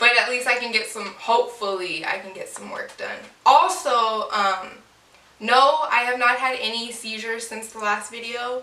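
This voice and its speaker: Amid noticeable background noise and audible room echo, a woman's high voice shows ordinary pitch variation and big swings in loudness. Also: moderate pace. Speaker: vlogger. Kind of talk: casual chat. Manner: halting.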